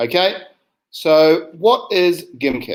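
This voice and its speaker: The speaker is a man. He has a New Zealand accent. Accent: New Zealand, similar to Australian. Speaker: science educator. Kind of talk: online teacher training presentation. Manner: hesitant, many fillers.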